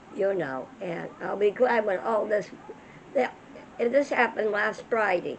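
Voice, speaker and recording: A woman speaks in a fairly high voice over noticeable background noise. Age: 80s+. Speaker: elderly mother telling life stories. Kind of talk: casual chat. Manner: halting.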